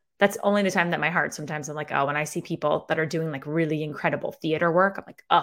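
A woman with an upstate New York accent talks at a very fast pace with hardly any pauses and fairly even intonation, on a very clean recording with a silent background. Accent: Syracuse, upstate New York. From Syracuse, New York. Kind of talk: casual interview chat. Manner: casual, candid, swears.

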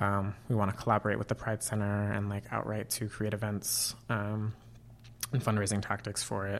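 Over a very clean recording with a silent background, a man with a Californian accent speaks at a moderate pace in a fairly low pitch with monotone, flat intonation. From Northern California (Auburn, foothills below Tahoe). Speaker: grad student and campus LGBTQ organizer. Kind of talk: casual interview. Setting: studio with a lamp.

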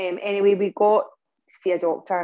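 A woman with a Scottish accent, fairly quick in pace, with fairly even intonation. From Scotland. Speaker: parent of a sick child, medical cannabis advocate. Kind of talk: interview testimony. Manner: halting, many fillers and restarts.

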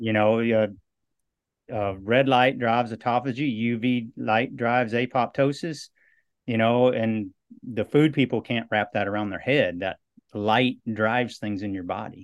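Against a quiet background, a man with an American accent talks in an ordinary speaking voice at a medium pitch, fairly slow and with fairly even intonation. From US Midwest, western Iowa. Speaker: movement coach and cancer survivor. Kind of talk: interview.

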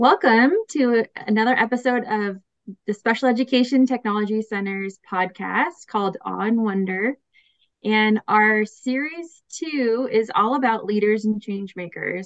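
Delivered in a normal speaking voice, the speech comes at a fairly slow pace with ordinary pitch variation. The sound is dry and close, without echo. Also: woman, fairly high pitch for a woman. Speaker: podcast host. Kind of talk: interview.

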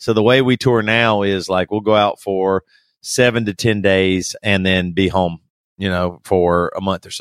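A man speaks in a normal speaking voice. His pitch is fairly low and his pace fairly slow. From US South. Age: 40s. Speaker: rock band singer. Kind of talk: casual interview. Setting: remote call.

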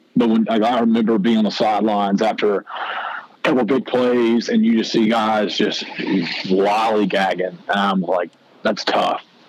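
Against noticeable background noise, a man speaks at a fairly low pitch and a moderate pace. His loudness stays very even. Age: 20s. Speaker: former college football linebacker. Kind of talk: casual interview chat. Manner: animated.

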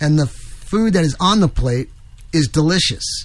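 Speaking at a moderate pace, a man with an American accent uses a fairly high pitch. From New York. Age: 60s. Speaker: radio host. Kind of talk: talk radio, political commentary. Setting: studio.

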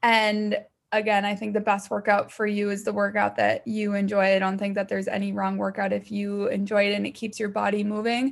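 Speaking with an American accent, a woman keeps a medium pitch and a monotone, flat intonation. Her pace is fairly quick over a quiet background. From US Midwest. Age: 20s. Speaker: fitness instructor and online fitness entrepreneur. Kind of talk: casual interview chat.

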